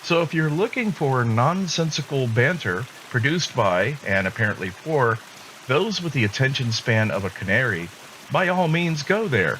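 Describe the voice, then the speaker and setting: Over noticeable background noise, a man at a medium pitch keeps his loudness very even while his pitch swings very widely. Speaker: podcast host. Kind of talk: monologue. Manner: slow; deliberate.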